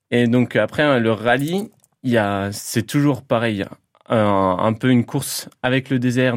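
Over a silent background on a very clean recording, a man talks at medium pitch with ordinary pitch variation. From Lorraine, France (Toul area). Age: 30s. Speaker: motorcycle rally rider. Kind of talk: radio interview. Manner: halting.

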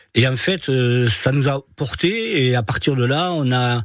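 The man's voice shows ordinary pitch variation. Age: 60s. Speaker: charity volunteer, retired bank executive. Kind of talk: radio interview. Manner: halting, repeats words.

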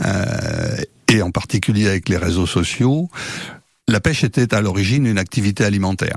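At a moderate pace, a man with a fairly low voice uses lively intonation and very even loudness, pausing long and often. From Brittany (Jugon, Côtes-d'Armor). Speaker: fishing association representative. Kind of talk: radio interview. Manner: hesitant, frequent filler sounds.

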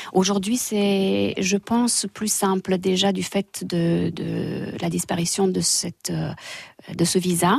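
Speaking at a very slow pace, a woman talks with a Romanian accent. The sound is dry and close, with no echo. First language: Romanian (speaking French). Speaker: English teacher and dance instructor. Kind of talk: radio interview.

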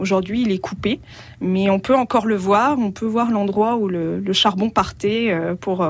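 A woman speaks at a fairly slow pace. Her pitch sits in the medium range, with ordinary pitch variation. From France, Allier (Auvergne). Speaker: travel blogger. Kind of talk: radio interview. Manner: hesitant, with frequent fillers.

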